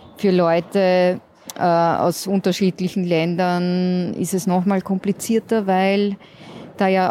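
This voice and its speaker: A woman talks very slowly, her intonation monotone and flat. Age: 40s. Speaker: counselor for queer refugees. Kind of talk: interview. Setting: outdoors in a courtyard.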